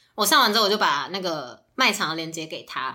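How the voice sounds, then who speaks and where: A woman speaks with a bright, sharp tone. Her pace is fairly quick. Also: very clean recording, silent background. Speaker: podcast guest, scam victim. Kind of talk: casual chat.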